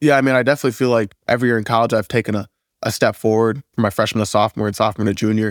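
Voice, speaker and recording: Speaking at a very fast pace with an American accent, a man comes through in a dry, close sound with no echo on a very clean recording with a silent background. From Wisconsin, Waukesha. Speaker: college football player. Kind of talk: casual interview.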